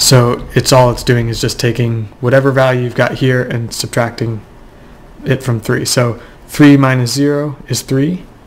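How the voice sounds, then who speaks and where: Here a man speaks in a monotone with flat intonation. Noticeable background noise runs beneath him. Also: medium pitch for a man, moderate pace. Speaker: Minecraft redstone tutorial maker. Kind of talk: screen-recorded game tutorial narration. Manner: casual, hesitant with fillers.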